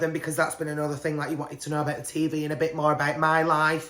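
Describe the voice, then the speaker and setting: Very deep and low in pitch, a woman speaks with a British accent. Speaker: podcast host. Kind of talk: casual chat.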